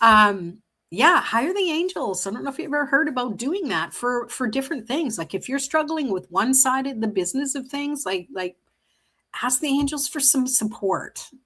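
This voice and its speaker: A woman's raised, projected voice, high in pitch with very wide swings and a bright, sharp tone, in a very clean recording with a silent background. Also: moderate pace. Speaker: tarot reader. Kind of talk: live interactive tarot reading. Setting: livestream. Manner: casual, halting with repetitions.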